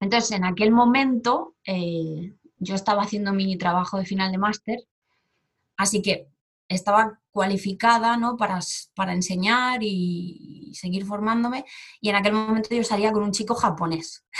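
A somewhat breathy woman at a moderate pace, fairly even intonation and long, frequent pauses. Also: medium pitch for a woman. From Spain, Barcelona. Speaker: Spanish teacher. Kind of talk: casual interview.

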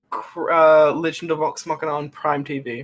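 With a New Zealand accent, a man with a high pitch speaks at a very slow pace. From New Zealand, living in Australia. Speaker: podcast co-host.

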